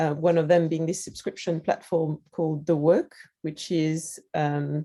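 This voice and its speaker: A woman with a French accent speaks at a fairly slow pace in a monotone, flat intonation. Her pitch is very deep and low, and her tone is dark and mellow. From France. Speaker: digital product lead at a creativity festival. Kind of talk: interview. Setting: video call.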